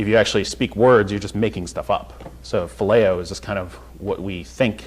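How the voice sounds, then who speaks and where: A man with an American accent speaks in a very deep, low voice at a fairly quick pace. His pitch swings very widely, over noticeable background noise. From North Carolina. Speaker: Bible teacher. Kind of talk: Bible study teaching. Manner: halting, many fillers; casual, conversational.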